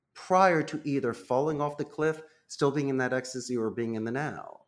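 A man speaks at a moderate pace with a Philadelphia accent. His pitch sits fairly high. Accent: Philadelphia American English. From Northeast Philadelphia, US. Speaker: call center CEO. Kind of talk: interview.

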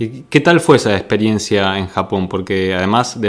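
This man has an unremarkable speaking voice with a fairly low pitch. He talks at a fairly slow pace with ordinary pitch variation. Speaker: podcast host and interviewer. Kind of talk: interview.

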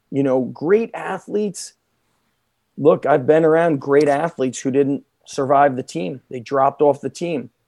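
A man with an American accent at a fairly high pitch, dark and mellow in tone, at a fairly slow pace, in a very clean recording with a silent background and a dry, close sound with no echo. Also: ordinary pitch variation. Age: 40s. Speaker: strength coach and gym owner. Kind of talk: casual podcast interview.

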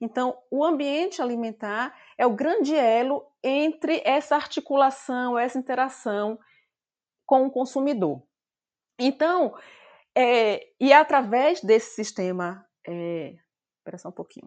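A woman with a high pitch speaks at a fairly slow pace, her lively intonation broken by long, frequent pauses and big swings in loudness. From Brazil, Bahia semi-arid interior. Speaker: nutrition professor. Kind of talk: interview.

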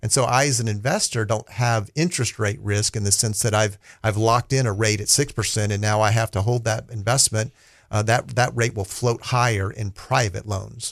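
A man's somewhat breathy voice, fairly low in pitch, at a moderate pace. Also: quiet background. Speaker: investment strategist. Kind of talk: radio interview. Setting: studio.

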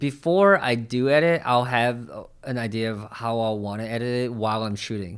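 A man's unremarkable speaking voice at medium pitch, moderate pace, and ordinary pitch variation. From New York. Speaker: photographer and videographer. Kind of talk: casual interview.

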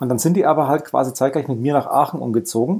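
Talking at a fairly quick pace, a man has a dark, mellow tone, medium pitch and ordinary pitch variation. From Lower Bavaria, Germany. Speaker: former games journalist, writer. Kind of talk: casual chat.

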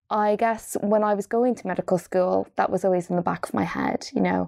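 A woman's medium-pitched voice with an Irish accent and a dark, mellow tone at a moderate pace, dry and close with no echo, on a very clean recording with a silent background. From Ireland, Dundalk. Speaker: doctor and health author. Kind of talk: interview.

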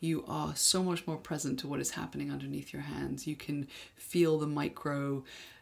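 A woman with an English accent, speaking at a fairly slow pace. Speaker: sex educator podcast co-host. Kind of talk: casual educational chat.

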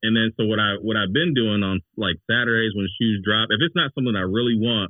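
Speaking at a fairly quick pace with an American accent, a man uses an unremarkable speaking voice, fairly low in pitch with ordinary pitch variation. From Cleveland, Ohio. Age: 40s. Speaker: sneaker collector. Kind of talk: casual chat. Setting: video call.

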